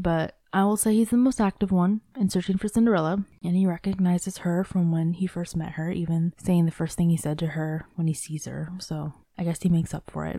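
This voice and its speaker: A woman speaks at a fairly quick pace with hardly any pauses, her fairly low voice dark, mellow and somewhat breathy, and her intonation fairly even. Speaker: podcast host. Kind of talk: solo podcast commentary.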